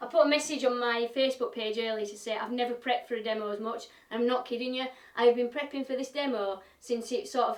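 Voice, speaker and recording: A woman's fairly high voice in a Yorkshire accent, fairly quick, with fairly even intonation. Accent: broad Yorkshire. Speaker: woodturner and live-stream demonstrator. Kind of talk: playful recipe demo in exaggerated broad Yorkshire; live-stream demo with casual chat. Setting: live stream.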